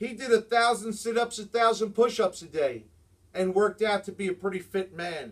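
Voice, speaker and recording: A man with a New Jersey accent, high pitch, ordinary pitch variation and a moderate pace. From New Jersey, Jersey City. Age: 50s. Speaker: sports vlogger. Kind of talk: sports commentary monologue. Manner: animated.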